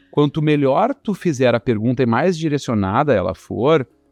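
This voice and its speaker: A man speaks at a fairly high pitch. The sound is dry and close with no echo, and music plays in the background. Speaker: guest panelist with sales background. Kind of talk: podcast panel discussion. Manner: fast.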